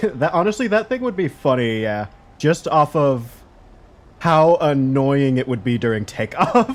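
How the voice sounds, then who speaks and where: A man's fairly high voice with very wide pitch swings, at a fairly slow pace. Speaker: gaming streamer. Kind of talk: live gameplay commentary. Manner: loud; animated.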